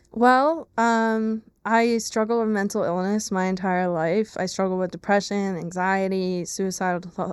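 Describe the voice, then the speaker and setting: A woman with an American accent and a plain, everyday voice speaks fairly slowly at a medium pitch with fairly even intonation, in a very clean recording with a silent background. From Pennsylvania, Lehigh Valley. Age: 20s. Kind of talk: testimony interview. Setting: studio.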